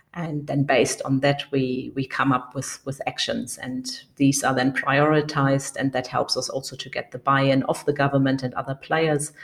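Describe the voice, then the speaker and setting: With a German accent, a woman speaks at a moderate pace with hardly any pauses. Her voice is very deep and low, with monotone, flat intonation. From Germany. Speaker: conservationist, foundation co-director. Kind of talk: interview. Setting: remote call.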